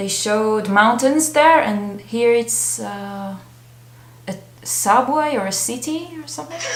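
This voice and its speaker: A woman talks at a fairly slow pace in a fairly high pitch, with lively intonation and big swings in loudness. The room echo is audible, and there is noticeable background noise. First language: not English. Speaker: K-pop reaction youtuber. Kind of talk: reaction video commentary. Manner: animated.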